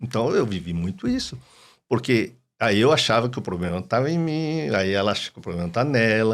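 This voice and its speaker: With very wide pitch swings, a man at medium pitch talks fairly quickly in a very clean recording with a silent background. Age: 60s. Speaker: psychoanalyst and doctor. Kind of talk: podcast interview.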